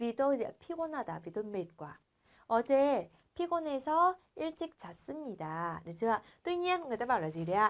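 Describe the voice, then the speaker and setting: Her pitch high and swinging very widely, a woman speaks in an animated tone at a moderate pace. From Vietnam. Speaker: Korean language teacher. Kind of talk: lecture. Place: studio.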